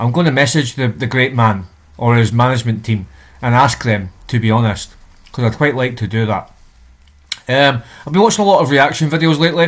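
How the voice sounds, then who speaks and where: A man speaks at a fairly quick pace with a Scottish accent. His pitch is medium, with ordinary variation. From Scotland. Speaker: reaction video creator. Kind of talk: casual talk to camera, channel intro.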